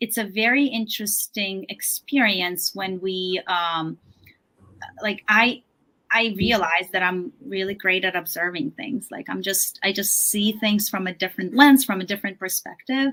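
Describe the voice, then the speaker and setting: In a non-native accent, a woman speaks at a moderate pace and medium pitch. Her tone is bright and sharp, with ordinary pitch variation. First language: not English. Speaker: author and yoga teacher. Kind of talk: interview. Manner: halting, many fillers.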